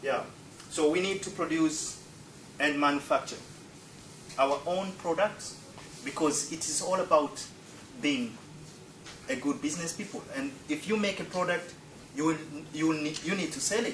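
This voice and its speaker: Speaking at a moderate pace with long, frequent pauses, a man with a fairly high pitch and ordinary pitch variation is heard over noticeable background noise. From Tanzania (Zanzibar). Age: 40s. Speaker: presenter. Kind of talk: presentation. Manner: halting.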